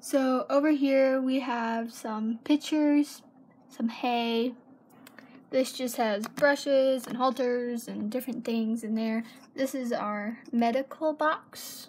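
A woman speaks at a very slow pace with a high pitch. Her intonation stays fairly even. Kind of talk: casual show-and-tell tour. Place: home room. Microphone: phone near.

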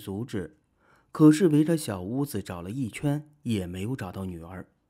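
Fairly low male pitch, dark and mellow in tone, with lively intonation at a moderate pace, on a very clean recording with a silent background. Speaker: video narrator. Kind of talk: true-crime horror narration, film-recap storytelling. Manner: steady, measured storyteller pacing, building eerie suspense.

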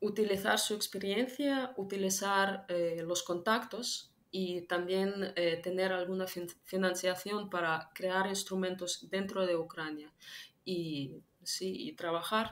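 The pace is very slow. Pitch varies in an ordinary way. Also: woman. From Ukraine. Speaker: political analyst; interview guest. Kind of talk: interview. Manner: halting, many fillers. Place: home room.

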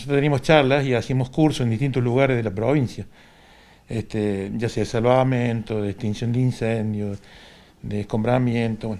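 Medium pitch from a man, his tone dark and mellow. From Argentina, Córdoba province. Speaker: retired volunteer firefighter. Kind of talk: interview testimony. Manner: halting. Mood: reminiscing, calm. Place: home room. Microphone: handheld.

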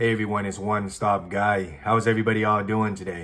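A man speaks in a plain, everyday voice with a fairly low pitch. His pace is moderate. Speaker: food vlogger. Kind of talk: casual vlog chat. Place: home room.

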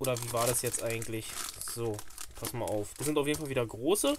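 There is faint background noise as a man talks at a moderate pace.

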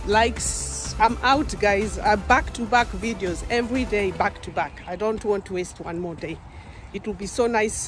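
A woman speaks at a moderate pace with ordinary pitch variation and big swings in loudness. Clear music plays in the background. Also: dry sound with no echo. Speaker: vlogger. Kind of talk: casual vlog chat. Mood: cheerful, laughing. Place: forest. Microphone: phone near.

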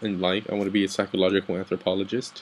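A speaker with an American accent talks at a fairly quick pace in a monotone, flat intonation. Light background noise can be heard. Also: man. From Texas and Guatemala. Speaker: soldier, vlogger. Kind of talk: late-night personal vent. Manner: halting. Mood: down, emotional. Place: home room. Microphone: webcam.

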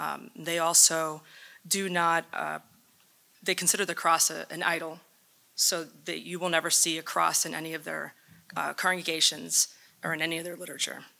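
A woman's fairly low, bright, sharp voice with vocal fry, monotone and flat intonation, a moderate pace and long, frequent pauses. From United States. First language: Spanish. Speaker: former Jehovah's Witness, panelist; speaker. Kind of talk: panel talk. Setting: stage with audience. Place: hall. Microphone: podium.

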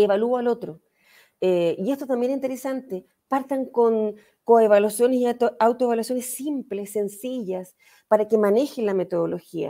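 A woman's dark, mellow tone comes through with a quiet background. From Chile. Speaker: history teacher and educator; history teacher, educator. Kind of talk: online talk. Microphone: video call.

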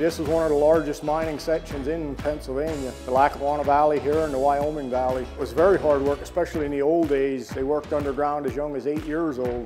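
A man at a very fast pace with fairly even intonation and clear music in the background. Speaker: tour guide. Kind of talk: interview answer. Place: hall. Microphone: lapel.

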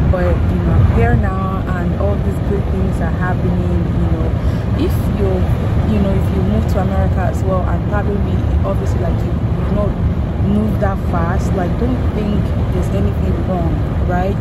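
A woman speaks with long, frequent pauses over loud background noise, the sound dry with no echo. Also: moderate pace. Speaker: vlogger. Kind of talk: casual vlog chat. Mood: grateful, excited. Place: car. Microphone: phone near.

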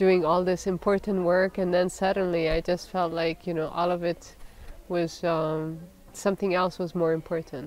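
A woman speaks with a fairly low pitch and monotone, flat intonation. The sound is dry, with no echo. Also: moderate pace. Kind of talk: interview answer. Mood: calm, reflective. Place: garden.

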